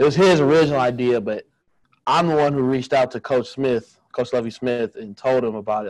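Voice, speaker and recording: A man with an American accent speaks at a medium pitch with ordinary variation. His loudness swings widely, and the sound is dry and close with no echo. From Illinois, Peoria. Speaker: college football player. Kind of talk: interview. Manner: casual.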